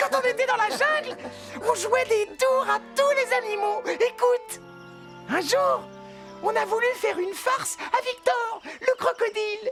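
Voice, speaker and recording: An extremely high-pitched, cartoonish character voice plays over clear background music. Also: moderate pace. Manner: cheeky, playful.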